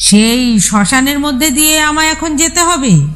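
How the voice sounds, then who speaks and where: Using a put-on character voice, a woman rumbles along at a fairly slow pace. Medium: read story. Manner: irritable, grumbling.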